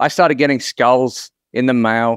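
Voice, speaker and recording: This man speaks with an Australian accent at a medium pitch and moderate pace, in a dry, close sound with no echo on a very clean recording with a silent background. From Queensland, Australia. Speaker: marketing consultant. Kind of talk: casual interview chat.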